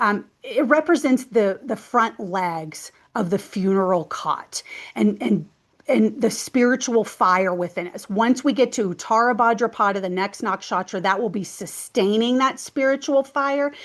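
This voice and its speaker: Lively in intonation and fairly slow in pace, a woman speaks in a plain, everyday voice with a fairly high pitch. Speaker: numerology and astrology teacher. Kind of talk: educational talk to camera. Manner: casual, conversational with fillers.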